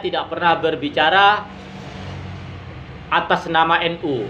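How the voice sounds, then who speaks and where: The voice is raised and projected, moving at a very slow pace. Noticeable background noise runs underneath. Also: man. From Madura, Indonesia. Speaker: YouTube commentator. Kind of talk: critical monologue.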